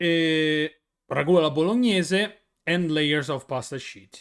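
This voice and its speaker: A man speaks with an Italian accent. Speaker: streamer. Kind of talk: casual chat. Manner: halting.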